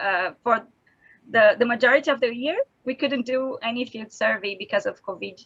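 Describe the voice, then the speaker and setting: A non-native accent at a moderate pace with ordinary pitch variation. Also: woman, high pitch for a woman. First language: not English. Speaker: conference presenter, reef researcher. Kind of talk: conference talk and Q&A. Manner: halting, many fillers.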